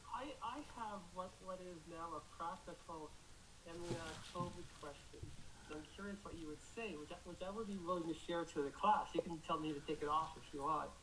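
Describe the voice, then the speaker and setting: Speech at a moderate pace, noticeable background noise behind it. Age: 60s. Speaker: class participant. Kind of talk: question in a class. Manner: halting, repetitive.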